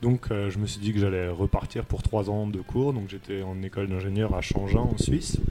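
A man's fairly low voice at a moderate pace with hardly any pauses and fairly even intonation, over noticeable background noise. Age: 30s. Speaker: winemaker. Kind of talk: casual interview.

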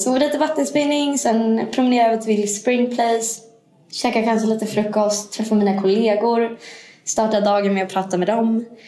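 With noticeable background noise behind her, a woman with a fairly high pitch talks at a moderate pace, her intonation fairly even and her loudness very even. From Sweden. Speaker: managing director. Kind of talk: casual interview. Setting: conference room. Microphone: room echo.

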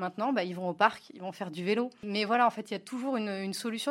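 Speaking at a very fast pace, a woman keeps a medium pitch with ordinary pitch variation. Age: 30s. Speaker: app co-founder. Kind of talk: interview.

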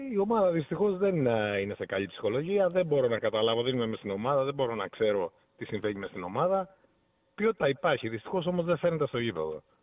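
This man talks at a fairly quick pace with a fairly high pitch and very wide pitch swings. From Heraklion, Crete, Greece. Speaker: caller. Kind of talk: call-in football discussion. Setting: phone call. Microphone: poor phone line.

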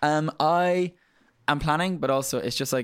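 The recording is very clean and the background silent. The man speaking holds a moderate pace. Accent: Irish Midlands. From Ireland, County Laois, Midlands. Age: 30s. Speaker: makeup artist. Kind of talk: casual interview chat. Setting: studio. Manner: animated.

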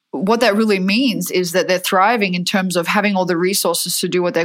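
A woman with an American accent speaks at a medium pitch with fairly even intonation in a very clean recording with a silent background. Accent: Australian with some American. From Perth, Western Australia. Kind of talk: casual interview chat.

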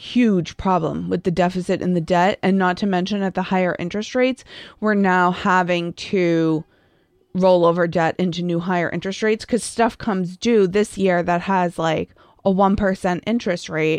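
Against a quiet background with a dry, close sound and no echo, a woman with an American accent and a plain, everyday voice speaks at a moderate pace and medium pitch with fairly even intonation. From Massachusetts. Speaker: podcast co-host. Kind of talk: casual chat.

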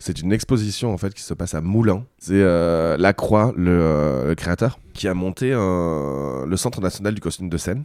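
A man with a very deep, low pitch speaks here. His pace is fairly slow, and his intonation is lively. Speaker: drag queen and burlesque performer. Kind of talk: casual chat. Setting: studio.

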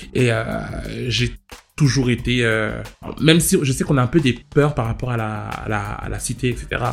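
With music in the background, a man speaks at a fairly slow pace. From France, Paris suburbs (Val-d'Oise housing estate). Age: 20s. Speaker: interviewee. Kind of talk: testimony.

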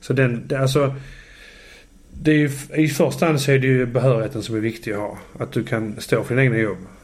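Amid audible room echo, a man talks at a fairly quick pace and medium pitch with ordinary pitch variation, leaving long, frequent pauses. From southern Sweden (Landskrona, Skåne). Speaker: electrician. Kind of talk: casual chat. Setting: home kitchen.

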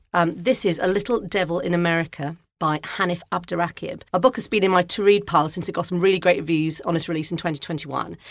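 A woman speaks very fast with a Welsh accent, barely pausing at all. Her fairly low voice keeps a fairly even intonation. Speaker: podcast host and music journalist. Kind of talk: casual interview chat. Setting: studio.

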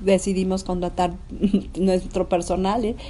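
The woman's fairly low pitch holds a monotone, flat intonation. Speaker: businesswoman. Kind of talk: interview.

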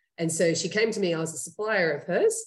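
A woman speaks with an Australian accent at a fairly quick pace. Her voice is somewhat breathy and fairly low in pitch. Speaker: startup CEO and co-founder. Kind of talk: casual interview. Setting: video call.

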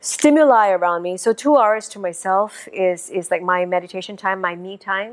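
In a normal speaking voice, the speaker moves at a moderate pace with hardly any pauses and ordinary pitch variation. Loudness swings widely. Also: woman, medium pitch for a woman. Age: 40s. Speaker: theatre director and entrepreneur. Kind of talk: interview.

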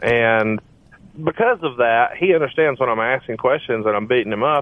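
A man with an American accent has a plain, everyday voice. He speaks at a fairly quick pace with medium pitch and ordinary pitch variation. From US South, Alabama. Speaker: podcast co-host and mortgage business owner. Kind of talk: casual interview chat.

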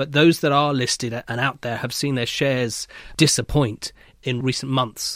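On a very clean recording with a silent background, a man with a normal speaking voice talks at a moderate pace in a medium pitch with fairly even intonation. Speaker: banking editor. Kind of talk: panel discussion. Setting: studio.

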